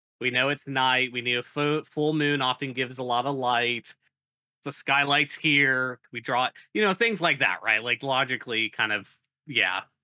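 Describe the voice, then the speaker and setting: A man with an unremarkable speaking voice, medium in pitch, at a moderate pace with fairly even intonation. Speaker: tabletop game player. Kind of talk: casual chat.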